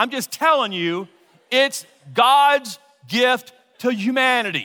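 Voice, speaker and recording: In an American accent, a man speaks at an extremely high pitch in a raised, projected voice. His tone is bright and sharp, with ordinary pitch variation. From Louisiana, US South. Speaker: pastor. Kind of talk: sermon. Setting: church.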